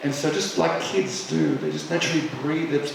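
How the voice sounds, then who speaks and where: A man's voice comes with audible room echo. Noticeable background noise runs underneath. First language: Arabic. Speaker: speaker on psychedelic healing. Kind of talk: public talk. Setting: hall with live audience. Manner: halting.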